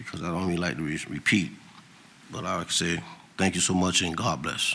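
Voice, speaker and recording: A bright, sharp tone with vocal fry, ordinary pitch variation and a fairly quick pace amid audible room echo. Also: man, very deep, low pitch for a man. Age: 70s. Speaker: city council member. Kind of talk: council meeting remarks. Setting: council chamber. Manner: halting.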